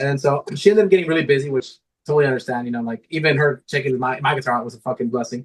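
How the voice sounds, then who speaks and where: Very fast speech comes from a man with a medium pitch and ordinary pitch variation. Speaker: guitarist. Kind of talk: casual chat. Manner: animated.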